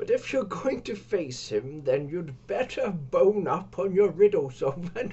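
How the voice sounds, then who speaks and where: A put-on character voice at a fairly slow pace with hardly any pauses. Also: man, high pitch for a man. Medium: read story. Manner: offhand, disinterested.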